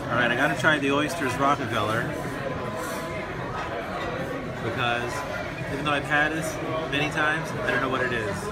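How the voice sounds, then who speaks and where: Crowd noise fills the background as a man speaks at a fairly quick pace. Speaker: food vlogger. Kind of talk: casual food review vlog. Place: cafe. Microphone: phone near.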